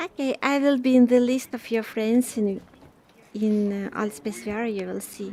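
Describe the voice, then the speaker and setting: With a slight Russian accent, the speaker talks at a fairly slow pace with long, frequent pauses. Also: woman. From Ukraine. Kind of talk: casual chat. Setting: virtual reality social space.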